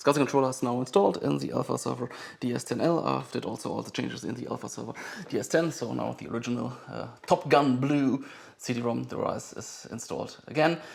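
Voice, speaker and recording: This man talks at a fairly quick clip with a strong German accent. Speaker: vintage computer collector and video maker. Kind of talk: hands-on tutorial commentary. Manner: fast; halting, many fillers.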